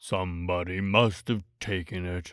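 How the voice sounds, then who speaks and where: Using a put-on character voice, a man speaks at a moderate pace with a very deep, low pitch on a very clean recording with a silent background. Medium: read story. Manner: gloomy, slow, sighing.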